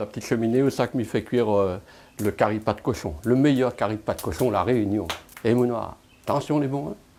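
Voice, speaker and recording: A man speaks at a fairly quick pace with a dark, mellow tone. His pitch is medium, with ordinary variation. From France, Brittany. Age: 60s. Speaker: farmer and musician. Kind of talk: casual chat; interview testimony. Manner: hesitant, many fillers.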